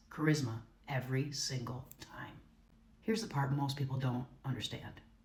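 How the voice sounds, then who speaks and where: A woman's very deep, low voice, confident in tone, at a moderate pace with ordinary pitch variation and audible room echo. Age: 50s. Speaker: content creator. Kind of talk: scripted monologue.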